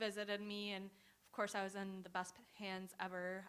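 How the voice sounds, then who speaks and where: A woman's bright, sharp voice at a medium pitch, with a General American accent. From US, Romanian immigrant family. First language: Romanian. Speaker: student panelist. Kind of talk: personal testimony. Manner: hesitant, many fillers.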